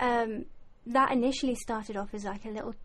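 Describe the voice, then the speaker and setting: A woman's medium-pitched, somewhat breathy voice at a fairly quick pace. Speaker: musician. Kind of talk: casual chat.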